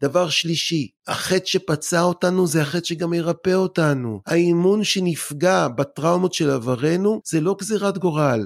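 On a very clean recording with a silent background and a dry, close sound with no echo, a high-pitched man speaks at a fairly slow pace with hardly any pauses, very even loudness and ordinary pitch variation. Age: 40s. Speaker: anger-management expert and lecturer. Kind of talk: casual interview.

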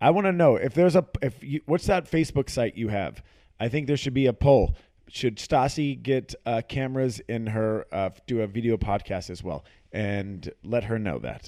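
The voice has a dark, mellow tone, a playful tone, and lively intonation. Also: man, medium pitch for a man, moderate pace. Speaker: boyfriend of the host, co-host for the episode. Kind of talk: casual chat. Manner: joking, playful.

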